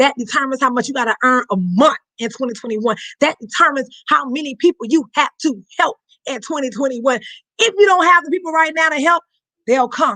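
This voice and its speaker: Raising and projecting her high voice, a woman speaks at a fairly quick pace with a bright, sharp, animated tone and lively intonation. The sound is dry and close, with no echo. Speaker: network marketing team leader. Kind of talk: motivational training talk. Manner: fast.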